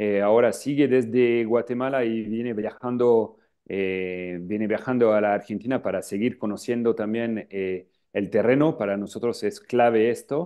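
Fairly even intonation in a French accent, moderate pace, quiet background. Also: man. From northern France, Lille; France. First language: French (speaking Spanish). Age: 40s. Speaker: travel agency founder. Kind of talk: interview. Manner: halting, many filler sounds. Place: office. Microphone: earbuds.

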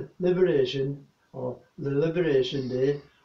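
Audible room echo surrounds a man's fairly high, somewhat breathy voice. His intonation stays fairly even. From England. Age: 80s+. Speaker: war veteran. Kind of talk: recorded address to an audience. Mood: earnest, warm, solemn. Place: home room.

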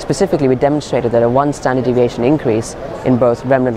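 The speech comes at a very fast pace in a dry sound with no echo, with noticeable background noise. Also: man. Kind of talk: interview answer. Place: hall.

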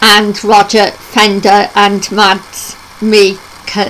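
With light background noise behind her, a woman speaks very slowly with monotone, flat intonation. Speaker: travel vlogger. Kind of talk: casual news vlog chat. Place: home room. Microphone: webcam.

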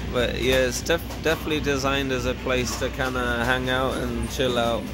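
A man at a moderate pace and very even loudness, with music in the background. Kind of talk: casual arcade tour commentary.

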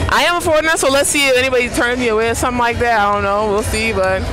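Over clear background music, a woman talks very fast at a high pitch. Her pitch variation is ordinary, and the sound is dry with no echo. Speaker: travel vlogger. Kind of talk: casual vlog chat. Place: street. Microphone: earbuds.

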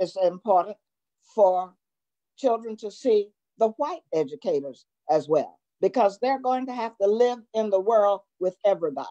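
A woman speaks with a Virginia accent, her tone dark and mellow and her intonation lively. She keeps a moderate pace against a quiet background. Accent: US South, Virginia. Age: 90s. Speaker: retired educator. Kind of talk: interview. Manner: halting, repeating words. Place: home room. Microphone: video call.

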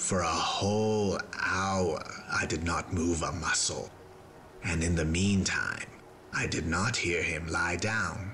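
A man talks at a fairly slow pace. Background noise is clearly audible. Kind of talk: gothic horror dramatic reading. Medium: read story. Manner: intense, feverish, building to agitation.

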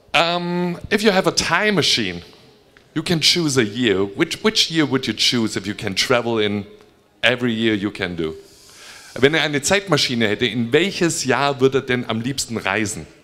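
A man with a German accent speaks with very wide pitch swings. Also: medium pitch for a man, moderate pace. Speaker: fan talk host and interpreter; fan talk host. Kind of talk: live fan Q&A with interpreting. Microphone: handheld.

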